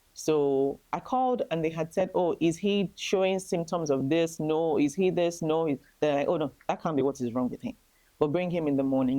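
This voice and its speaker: Speaking at a moderate pace with an Nigerian accent, a woman has a dark, mellow tone. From Nigeria, Lagos. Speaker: grieving mother sharing testimony. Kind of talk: testimony.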